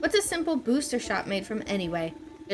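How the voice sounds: Reading done in a natural reading voice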